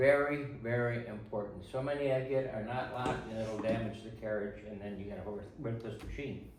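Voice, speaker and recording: A man talks at a moderate pace with ordinary pitch variation, while noticeable background noise and audible room echo fill the recording. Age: 80s+. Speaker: retired typewriter dealer and restorer. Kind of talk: tutorial.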